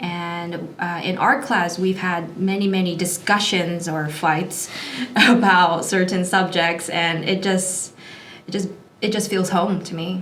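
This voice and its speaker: Amid noticeable background noise and audible room echo, a woman with a Hawaiian accent talks fairly slowly at a medium pitch with fairly even intonation. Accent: American (Hawaii). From Hawaii, Honolulu. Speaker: online Japanese teacher and influencer. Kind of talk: interview.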